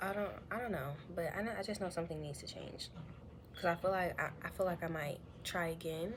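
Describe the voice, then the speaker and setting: Vocal fry marks a woman's fairly low voice with ordinary pitch variation. She talks at a fairly quick pace in audible room echo. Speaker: vlogger sharing personal story. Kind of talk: confessional vlog monologue. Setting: at home. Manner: halting, hesitant with many fillers.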